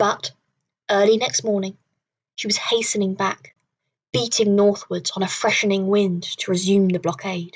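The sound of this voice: Heard over a quiet background is an unforced reading voice.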